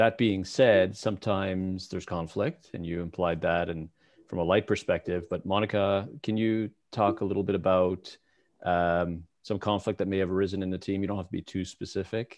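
Against a quiet background, a man with a very deep, low pitch speaks at a moderate pace with fairly even intonation. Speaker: webinar moderator and researcher; webinar moderator. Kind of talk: webinar moderation. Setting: video call. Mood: friendly, light. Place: home room. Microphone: headset.

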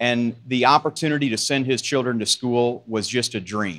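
The background is quiet as a man talks at a moderate pace. His pitch variation is ordinary. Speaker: agriculture company manager; storyteller at a charity event. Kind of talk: storytelling. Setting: stage with audience. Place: hall. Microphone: handheld.

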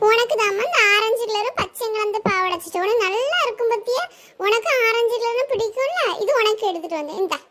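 Over light background noise, a woman uses a put-on character voice with an extremely high pitch, at a moderate pace. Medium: comedy sketch. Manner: homely, chiding yet affectionate.

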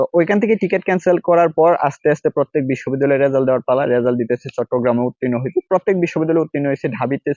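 Ordinary pitch variation and a fairly high pitch from a man with a plain, everyday voice. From Bangladesh, Mymensingh. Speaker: university student and educational YouTuber. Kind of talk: personal story told to camera. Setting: outdoors in a campus nursery.

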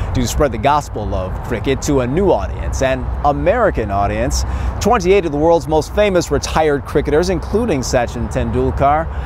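A man speaks at a moderate pace over light background noise. The sound is dry, with no echo. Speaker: sports anchor and reporter. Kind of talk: TV sports news anchor reel. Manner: lively, analytical. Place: street. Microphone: lapel.

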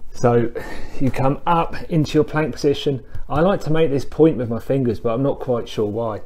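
At a moderate pace, a man talks in a dark, mellow tone with ordinary pitch variation. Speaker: fitness instructor. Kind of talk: tutorial. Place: home room. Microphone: camera far.

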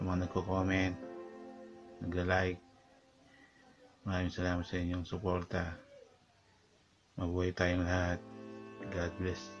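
Clear music plays in the background. The intonation is monotone and flat. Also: man. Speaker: motovlogger. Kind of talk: tutorial. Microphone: phone near.

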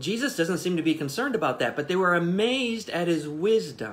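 A man talks at a moderate pace with a high pitch. His pitch moves in very wide swings. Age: 40s. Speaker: pastor. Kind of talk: livestreamed Bible devotional. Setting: Facebook Live stream, off site. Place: home room.

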